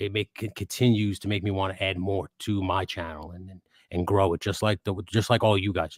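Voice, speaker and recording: A man with a Queens accent, very deep and low, fairly quick and monotone, in a very clean, silent recording with a dry, close sound and no echo. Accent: New York Queens. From New York, Queens. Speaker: toy photographer and YouTuber. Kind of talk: casual chat. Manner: halting, many false starts.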